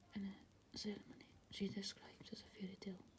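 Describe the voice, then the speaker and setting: Soft-spoken delivery moves along at a fairly quick pace. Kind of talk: soft-spoken ASMR magazine article reading.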